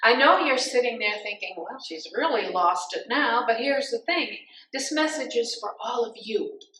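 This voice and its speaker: With audible room echo, a woman speaks at a high pitch, her voice making very wide pitch swings and big swings in loudness. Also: moderate pace. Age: 70s. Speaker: pastor. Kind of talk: sermon.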